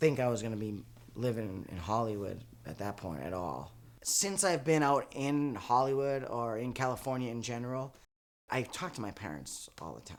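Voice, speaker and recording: A man with a slight Boston accent, medium pitch and lively intonation at a fairly quick pace. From Boston area, Massachusetts. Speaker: actor and comedian, audience warm-up man. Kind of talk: interview.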